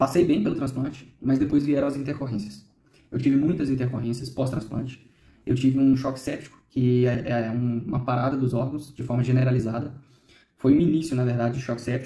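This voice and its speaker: With audible room echo, a man at medium pitch speaks at a fairly quick pace with long, frequent pauses, his tone dark and mellow, somewhat breathy, and his intonation fairly even. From Minas Gerais, Brazil (Ipatinga). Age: 30s. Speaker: bone marrow transplant survivor. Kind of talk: documentary interview testimony.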